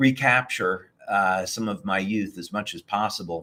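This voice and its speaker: A man speaks in a fairly low pitch at a fairly slow pace. He has a plain, everyday voice. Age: 60s. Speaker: company founder and inventor. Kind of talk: interview.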